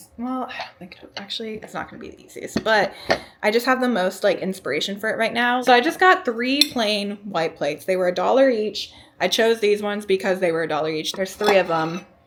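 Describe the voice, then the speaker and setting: A woman with an ordinary speaking voice talks at a fairly quick pace and medium pitch, with lively intonation and big swings in loudness. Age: 20s. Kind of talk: casual vlog talk to camera. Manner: chatty, upbeat.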